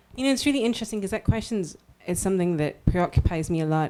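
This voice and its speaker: A woman's dark, mellow voice with ordinary pitch variation and a Scottish accent. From Scotland. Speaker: writer. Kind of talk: panel Q&A answer.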